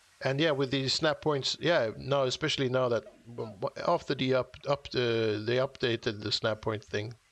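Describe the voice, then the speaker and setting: Against a quiet background, a man talks at a moderate pace. His medium pitch holds a fairly even intonation. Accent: non-native. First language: not English. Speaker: gaming streamer. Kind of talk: casual live-stream chat while building. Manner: halting, many restarts and fillers.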